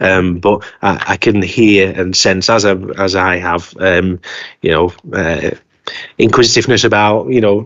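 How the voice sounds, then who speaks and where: A man speaks at a moderate pace in a fairly low pitch with fairly even intonation. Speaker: council committee chair. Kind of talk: formal committee meeting. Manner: hesitant.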